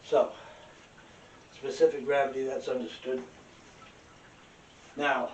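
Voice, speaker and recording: A man speaks at a fairly slow pace with long, frequent pauses, and audible echo hangs in the room. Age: 70s. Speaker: independent researcher. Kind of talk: demonstration lecture. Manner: casual, halting.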